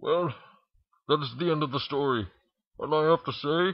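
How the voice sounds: A man talks at a fairly slow pace, his voice carrying a slightly husky edge and ordinary pitch variation.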